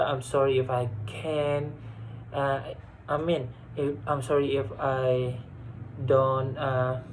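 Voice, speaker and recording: In a room with audible echo, a man speaks at a medium pitch. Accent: Indonesian. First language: Indonesian. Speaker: university student. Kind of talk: class presentation. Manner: halting.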